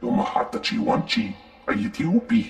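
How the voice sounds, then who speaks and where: Put-on character voice from a man, pitched extremely high. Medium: video game. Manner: speaks unintelligible alien language.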